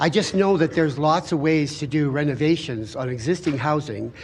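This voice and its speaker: A man's ordinary speaking voice, fairly high in pitch with ordinary pitch variation, at a fairly quick pace. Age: 60s. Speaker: home builder and renovator. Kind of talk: public hearing testimony.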